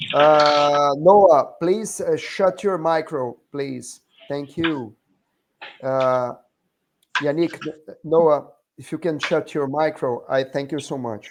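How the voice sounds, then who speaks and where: Very slow speech broken by long, frequent pauses. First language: not English. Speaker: union educator leading a workers' training group. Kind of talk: online group meeting / class. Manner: slow, deliberate.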